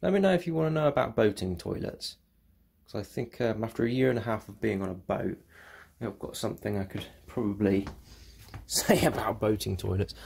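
Somewhat breathy, a man speaks at a fairly quick pace. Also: quiet background. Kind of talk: casual vlog chat. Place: bathroom. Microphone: phone near.

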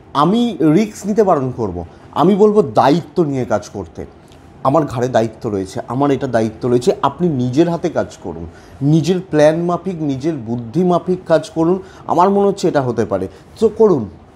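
A somewhat breathy man's voice with a dark, mellow tone and very wide pitch swings. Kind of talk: horoscope commentary to camera. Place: home room.

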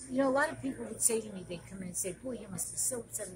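A woman is speaking. Noticeable background noise is present. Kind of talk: interview answer. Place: bar.

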